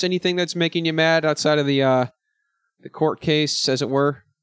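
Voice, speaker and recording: A man talks loudly at a moderate pace. The sound is dry and close with no echo, and his pitch varies in an ordinary way. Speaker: podcast host. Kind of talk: casual chat. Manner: high energy, loud.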